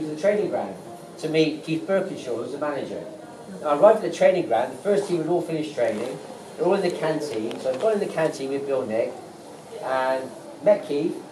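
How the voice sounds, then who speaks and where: Talking fairly quickly in a fairly high voice with lively intonation, a man is heard through audible room echo and noticeable background noise. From West Country, England (Bristol). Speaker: former footballer, stadium tour guide. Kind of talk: storytelling on a guided tour.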